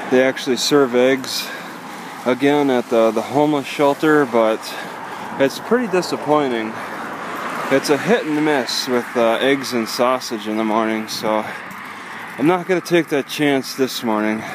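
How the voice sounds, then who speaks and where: A man speaks with long, frequent pauses and ordinary pitch variation, in a dry sound with no echo and noticeable background noise. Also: moderate pace. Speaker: vlogger. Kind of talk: casual vlog chat. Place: street. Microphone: phone near.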